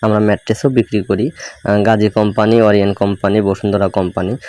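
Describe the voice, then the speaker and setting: A man's fairly low voice, very even in loudness, with a dry, close sound with no echo and music in the background. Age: young. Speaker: shop worker and vlogger. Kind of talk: walking vlog tour. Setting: inside a bedding shop.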